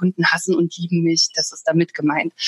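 A woman of medium pitch talks at a fairly quick pace, with a dry, close sound and no echo. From Thuringia, Germany. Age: 30s. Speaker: financial advisor. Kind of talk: interview. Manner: hesitant fillers.

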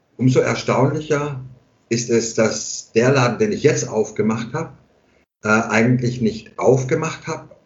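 Here a man speaks at a fairly slow pace. His voice is somewhat breathy. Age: 50s. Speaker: barber and hairdresser. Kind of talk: casual chat.

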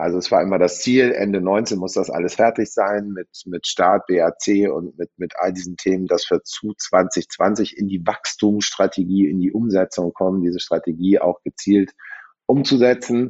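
At a moderate pace, a man talks with fairly low pitch and fairly even intonation. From Germany, Münster (Westphalia). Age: 40s. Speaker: car dealership executive. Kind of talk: interview. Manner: hesitant, many fillers.

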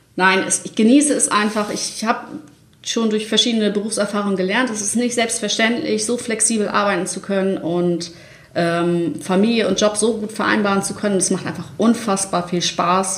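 A woman speaks with ordinary pitch variation. Noticeable background noise and audible room echo are present. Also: medium pitch for a woman, moderate pace. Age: 30s. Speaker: online marketing manager. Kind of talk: casual interview. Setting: studio, sitting next to host.

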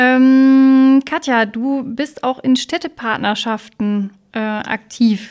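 A woman's high-pitched voice with fairly even intonation, on a very clean recording with a silent background. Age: 30s. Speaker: podcast co-host, local youth politician. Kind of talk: casual interview.

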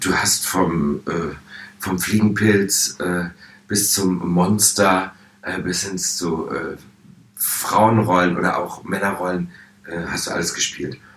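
A man's very deep, low voice at a very slow pace, with fairly even intonation, audible room echo and noticeable background noise. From Hannover, northern Germany. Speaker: drag performer. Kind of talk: interview.

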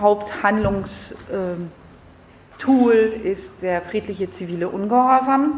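A woman's medium-pitched voice at a very slow pace, long, frequent pauses, audible room echo and noticeable background noise. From France. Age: 40s. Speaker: environmental activist. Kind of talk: lecture.

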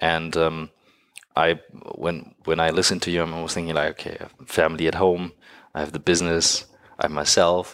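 A man with a German accent speaks in a very deep, low pitch with monotone, flat intonation at a fairly quick pace, broken by long, frequent pauses, on a very clean recording with a silent background. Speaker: podcast host. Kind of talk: interview, casual conversation.

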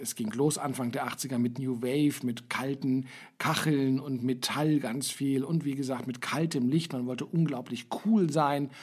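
The speaker has an unremarkable speaking voice. Delivery is at a fairly slow pace. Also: man. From West Berlin. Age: 50s. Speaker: podcast host, marketing lecturer. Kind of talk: casual chat.

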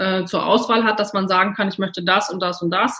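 Her voice is bright and sharp in tone. The woman speaks at medium pitch and a moderate pace. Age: 40s. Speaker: nutritionist. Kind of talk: interview. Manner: hesitant, many fillers.

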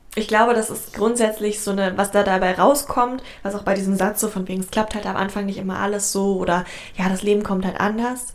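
A woman talks at a fairly quick pace in a medium pitch, her intonation monotone and flat. Noticeable background noise runs behind her. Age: 20s. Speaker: podcast co-host. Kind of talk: casual chat.

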